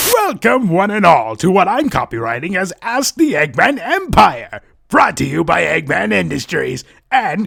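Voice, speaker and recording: A man speaks in a high, put-on character voice. His delivery is fairly slow. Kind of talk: comedic character dialogue.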